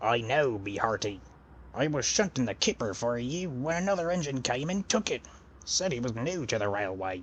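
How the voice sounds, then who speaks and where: A man's put-on character voice, medium in pitch, at a moderate pace amid clear background noise. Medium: audio drama. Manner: hearty sailor slang.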